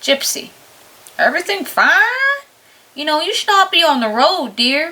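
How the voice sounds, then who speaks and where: Using a put-on character voice, a woman speaks at a moderate pace with extremely high pitch and very wide pitch swings. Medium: read story.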